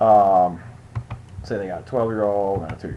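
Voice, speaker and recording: A man with a fairly low pitch talks at a fairly quick pace, his pitch varying in an ordinary way. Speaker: insurance agent. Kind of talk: tutorial. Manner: fast.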